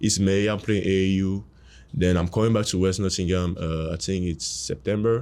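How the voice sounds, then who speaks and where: A man with a French accent is heard in a very clean recording with a silent background. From Cameroon. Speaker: college basketball player. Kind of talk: interview.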